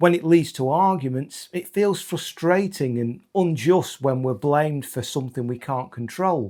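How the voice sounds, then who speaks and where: Over a very clean recording with a silent background, a normal speaking voice moves at a moderate pace with lively intonation. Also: man. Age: 50s. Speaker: ADHD content creator. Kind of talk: educational talk to camera.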